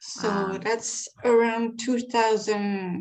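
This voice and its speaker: A woman speaks in a French accent. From France. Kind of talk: interview answer.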